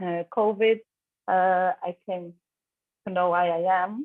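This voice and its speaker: The speech comes in a Brazilian accent at a very slow pace. The pitch varies in an ordinary way. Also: woman. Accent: Brazilian Portuguese accent, self-described. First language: Portuguese. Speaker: prospective student. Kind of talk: casual introduction at an online info session. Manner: halting.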